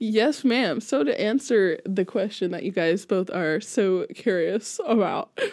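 The setting is quiet. A woman speaks at a fairly slow pace. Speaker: music teacher guest. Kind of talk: interview answer. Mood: relaxed, friendly. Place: studio. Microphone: studio mic.

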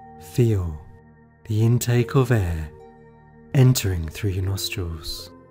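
Over background music, a man with a fairly low pitch speaks at a very slow pace with lively intonation. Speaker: meditation guide. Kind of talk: guided meditation. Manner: calm, slow-paced.

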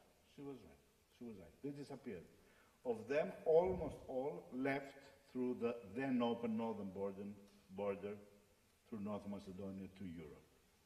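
A man with a Greek accent, lively intonation, big swings in loudness, long and frequent pauses, and audible room echo. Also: moderate pace. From Greece. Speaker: writer, former mathematician; speaker. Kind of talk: panel discussion. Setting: stage with audience. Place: hall. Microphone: podium.

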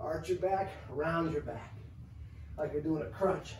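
Against light background noise and audible room echo, a man speaks with a high pitch. His pace is fairly slow and his intonation fairly even. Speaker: fitness coach. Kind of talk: tutorial. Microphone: camera far.

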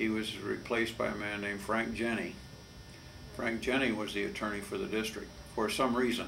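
Over light background noise, a man with an American accent speaks at a fairly low pitch and moderate pace. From Southern California (Glendale); Southern California. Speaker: water lawyer. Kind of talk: oral history interview. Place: office.

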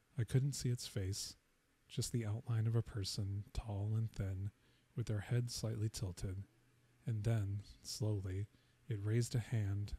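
The voice is soft-spoken and somewhat breathy, with a dark, mellow tone and fairly even intonation. It moves at a fairly slow pace, and the sound is dry with no echo. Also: man. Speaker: ASMR storyteller. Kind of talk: first-person ghost story read aloud as a bedtime-style narration. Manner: soft-spoken, hushed near-whisper delivery; slow, suspenseful pacing that lingers on the knocks. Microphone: studio mic.

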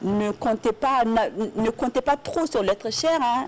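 A woman speaks with lively intonation. Light background noise can be heard. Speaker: TV co-host. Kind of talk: casual chat. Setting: TV studio. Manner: animated. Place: studio.

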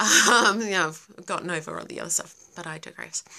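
At a moderate pace, a woman with an Australian accent speaks at a fairly low pitch in a bright, sharp tone, her pitch variation ordinary and the background quiet. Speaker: livestream host; live streamer. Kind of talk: casual live Q&A. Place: home room. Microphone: phone near.

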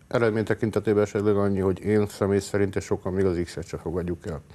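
Very fast and flat, a man speaks in a monotone. His very deep, low voice has a dark, mellow tone. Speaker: football supporter group representative. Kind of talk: interview answers. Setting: TV studio. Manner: halting, frequent fillers. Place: studio.

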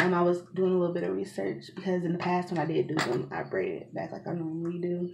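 A woman at a very fast pace with monotone, flat intonation, over noticeable background noise. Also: fairly low pitch for a woman, hardly any pauses. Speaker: hair vlogger. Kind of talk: casual vlog chat. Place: home room. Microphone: phone near.

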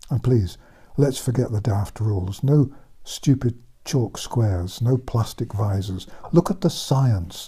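Against a quiet background, a man talks at a fairly slow pace with lively intonation. His tone is dark and mellow and somewhat breathy. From England. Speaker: author and former general practitioner. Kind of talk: commentary monologue. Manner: calm, laid back. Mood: indignant, scornful. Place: home room.

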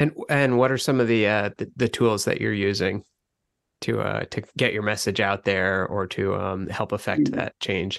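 Vocal fry runs through a man's voice as he speaks at a moderate pace with ordinary pitch variation. The sound is dry and close, with no echo. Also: fairly low pitch for a man. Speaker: podcast host. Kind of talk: scripted narration.

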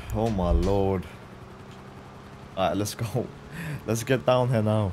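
A man at a fairly low pitch and fairly slow pace, with ordinary pitch variation, over noticeable background noise. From Norway. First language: Norwegian. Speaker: gaming streamer. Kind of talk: live gameplay stream. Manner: animated.

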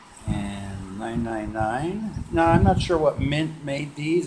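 A man talks. Behind him, music can be heard in the background. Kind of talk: casual vlog chat. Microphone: phone near.

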